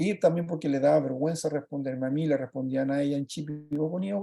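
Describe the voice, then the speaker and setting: A man speaks at a fairly quick pace with a Chilean accent. His tone is dark and mellow, with ordinary pitch variation. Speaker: project leader presenting a children's book. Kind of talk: virtual presentation talk. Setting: video call. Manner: fast; halting, many fillers.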